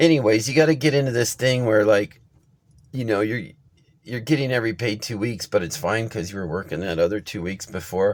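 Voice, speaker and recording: On a very clean recording with a silent background, a man uses a fairly low pitch with vocal fry, very wide pitch swings and a fairly quick pace. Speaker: vlogger. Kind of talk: casual vlog monologue. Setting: in a car. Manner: fast; halting.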